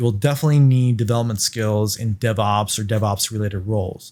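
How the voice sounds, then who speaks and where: A man talks with a non-native accent. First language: not English. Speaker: cloud engineer, podcast host. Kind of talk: tutorial.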